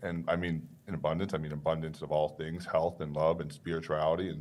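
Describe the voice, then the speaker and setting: Here a man with a New York accent talks in a very deep, low pitch. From Long Island, New York, then Maryland. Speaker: author and business owner. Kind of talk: interview.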